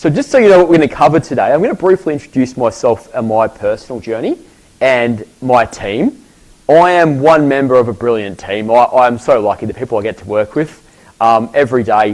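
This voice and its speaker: A man with an Australian accent at a moderate pace, lively in intonation. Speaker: professor. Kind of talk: lecture.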